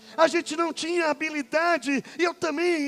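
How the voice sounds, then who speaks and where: Over noticeable background noise, a man speaks at a fairly slow pace with an extremely high pitch. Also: dry, close sound with no echo. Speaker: pastor. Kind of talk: sermon.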